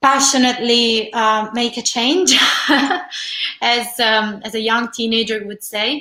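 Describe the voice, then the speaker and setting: Fairly slow and fairly even in intonation, a woman with an Italian accent speaks at a high pitch in a bright, sharp tone. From Italy, Rome. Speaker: holistic teacher and energy healer. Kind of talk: interview.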